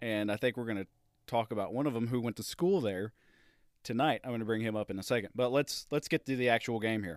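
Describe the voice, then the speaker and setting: Over a very clean recording with a silent background and a dry, close sound with no echo, a man speaks very fast at a medium pitch with ordinary pitch variation. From Tennessee. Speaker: podcast host. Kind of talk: casual chat. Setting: sitting in a recliner at home, late at night.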